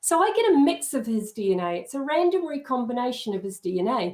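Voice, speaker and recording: A woman speaks with a New Zealand accent, her pitch swinging very widely. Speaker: genealogy educator. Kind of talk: lecture. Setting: live video stream.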